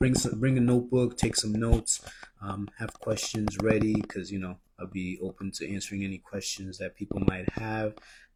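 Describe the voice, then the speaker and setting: Quiet speech at a moderate pace comes through noticeable background noise. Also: man, fairly low pitch for a man. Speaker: credit and business funding mentor. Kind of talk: live stream promo talk. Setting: live stream at home. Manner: quiet, low voice; subdued, not animated.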